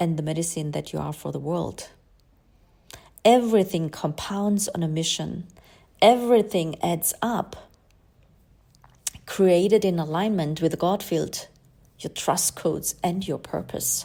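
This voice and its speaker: In a very clean recording with a silent background, a woman with a non-native accent speaks at a fairly slow pace and fairly low pitch in a dark, mellow tone, using ordinary pitch variation and long, frequent pauses. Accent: non-native English speaker. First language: German. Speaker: spiritual astrology coach. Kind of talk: podcast monologue.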